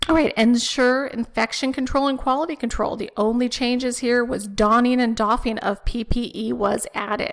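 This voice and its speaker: With hardly any pauses, the voice keeps a fairly even intonation over noticeable background noise. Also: woman, high pitch for a woman, moderate pace. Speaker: respiratory therapy educator. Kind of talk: webinar presentation.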